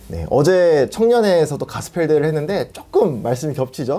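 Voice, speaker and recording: Words come out rather quickly, and the pitch rises and falls in a normal way. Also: man. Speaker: preacher. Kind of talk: sermon. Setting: church with PA system.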